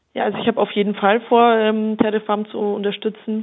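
A woman talks fairly quickly amid noticeable background noise. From Upper Franconia, Bavaria (Germany). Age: 30s. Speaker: member of parliament. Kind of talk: interview.

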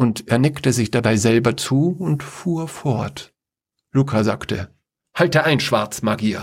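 Quiet background and an unforced reading voice

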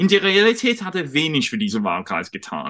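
Against a quiet background, a man talks. His tone is bright and sharp. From United Kingdom. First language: English (speaking German). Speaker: journalist and lecturer on European politics. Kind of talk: interview on a livestream. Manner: halting, with fillers.

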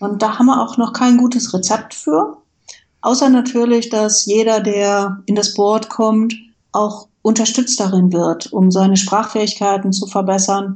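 A woman's fairly high, somewhat breathy voice moves at a fairly slow pace with fairly even intonation. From Westphalia, Germany. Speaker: IT manager and foundation board member. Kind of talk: interview.

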